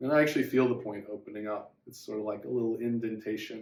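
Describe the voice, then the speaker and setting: The speaker is a man. There is ordinary variation in his pitch. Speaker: acupressure meditation teacher. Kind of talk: guided meditation. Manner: soft and tranquil.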